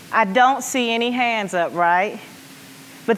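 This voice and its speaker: An American accent at a fairly slow pace, with audible room echo. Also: woman. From US South, rural Arkansas. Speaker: education nonprofit leader. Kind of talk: conference keynote. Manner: animated.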